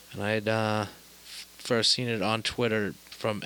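Over noticeable background noise, a fairly low-pitched man speaks at a fairly slow pace with monotone, flat intonation. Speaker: podcast host.

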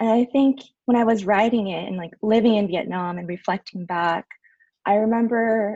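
In a quiet background and a dry, close sound with no echo, a somewhat breathy woman with an American accent talks at a moderate pace with ordinary pitch variation. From Orange County, California. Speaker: teacher. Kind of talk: interview.

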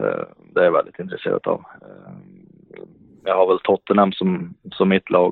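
This man keeps a moderate pace but takes long, frequent pauses. There are big swings in his loudness. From Sweden, Värmland (Hagfors). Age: 30s. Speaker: professional ice hockey player. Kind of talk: podcast interview. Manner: halting, many repetitions and fillers.

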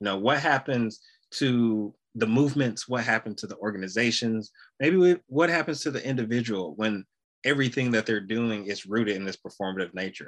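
A man speaks at a fairly quick pace with a medium pitch and ordinary pitch variation. He has a normal speaking voice, and the background is quiet. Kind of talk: interview.

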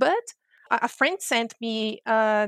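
In a Portuguese accent, a woman speaks at a fairly high pitch against a quiet background. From Brazil. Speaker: futures researcher and professor. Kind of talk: interview.

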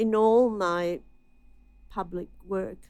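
This voice has an Italian accent and fairly even intonation. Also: woman. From Italy, then Australia from childhood. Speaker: writer and community arts curator. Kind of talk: interview reminiscence. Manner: halting, with frequent repetitions.

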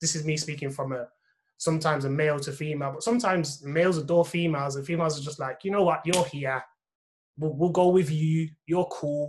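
This man has an unremarkable speaking voice, fairly high in pitch, with fairly even intonation and a fairly quick pace. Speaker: podcast host. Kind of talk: panel discussion, casual chat.

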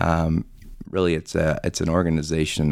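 Speaking at a fairly quick pace, a man with an American accent uses a very deep, low pitch marked by vocal fry. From Florida. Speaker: housing authority staff, event organizer. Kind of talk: interview. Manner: frequent fillers (um, uh).

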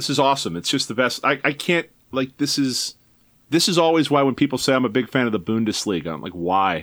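This man talks very fast with a medium pitch, very wide pitch swings and vocal fry. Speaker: soccer blogger. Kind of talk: casual chat. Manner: animated.

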